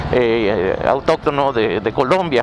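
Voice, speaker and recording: This man's intonation is lively, with noticeable background noise behind him. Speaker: motorcycle vlogger and storyteller. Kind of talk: casual storytelling to camera while riding a motorcycle. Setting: outdoors on a motorcycle. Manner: casual, conversational, with hesitations and fillers.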